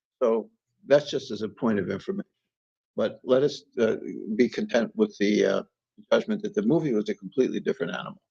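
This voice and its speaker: Man with an American accent, dark, mellow tone, vocal fry, very wide pitch swings, very fast pace, long, frequent pauses, and a dry, close sound with no echo. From US Northeast, Hudson Valley New York. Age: 70s. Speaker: novelist. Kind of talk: interview. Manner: formal.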